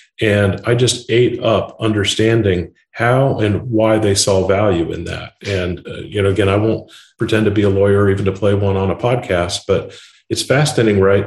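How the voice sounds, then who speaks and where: In an American accent, a man speaks at a moderate pace in a fairly low, somewhat breathy voice with fairly even intonation. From Indiana, US Midwest. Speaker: tech company founder and CEO. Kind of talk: podcast interview.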